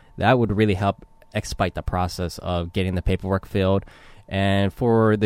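A man with an American accent speaks at a moderate pace in a fairly low pitch, with fairly even intonation. The recording is very clean, with a silent background. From Los Angeles, California. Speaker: Marine veteran, PhD student. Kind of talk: interview. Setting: studio.

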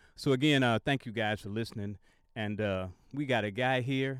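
Here is a man with a plain, everyday voice. He speaks at a moderate pace with ordinary pitch variation. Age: 60s. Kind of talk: radio talk show interview; reading his own blog aloud. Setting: radio studio.

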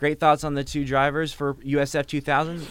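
A man speaks at a fairly quick pace in a normal speaking voice, pitched fairly high. The recording is very clean, with a silent background. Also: dry, close sound with no echo. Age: young. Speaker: college radio host. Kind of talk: radio interview. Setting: radio studio.

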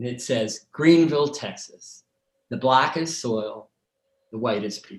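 With a normal speaking voice, a man talks at a fairly slow pace and medium pitch, showing ordinary pitch variation and big swings in loudness. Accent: American. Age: 60s. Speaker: documentary director. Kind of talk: interview.

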